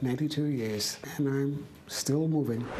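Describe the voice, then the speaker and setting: Through audible room echo and noticeable background noise, a woman speaks in a very deep, low voice. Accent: American. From New York City. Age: 90s. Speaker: physician. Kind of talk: interview.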